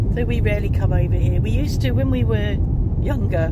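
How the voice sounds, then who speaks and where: Loud background noise fills the clip. The sound itself is dry, with no echo. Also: man. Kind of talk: casual vlog chat. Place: car. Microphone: phone near.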